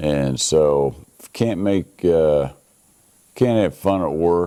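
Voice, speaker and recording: A man with a Midwestern American accent and a dark, mellow tone. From Kansas. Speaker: interviewee. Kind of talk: personal history interview.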